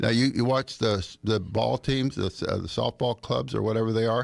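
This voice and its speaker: Talking at a fairly quick pace, a man with a medium pitch has vocal fry. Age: 80s+. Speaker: bicycle safety advocate. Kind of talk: radio interview. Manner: halting, many repeated words.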